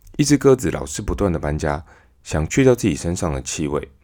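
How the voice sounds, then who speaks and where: A man's very deep, low voice with vocal fry and a Taiwanese accent, very wide pitch swings, a fairly quick pace, and a very clean recording with a silent background. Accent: Taiwanese Mandarin. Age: 30s. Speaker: podcast host. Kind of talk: storytelling monologue.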